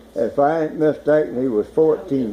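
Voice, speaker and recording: A man speaks at a moderate pace while noticeable noise fills the background. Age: 80s+. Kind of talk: reminiscing in family conversation.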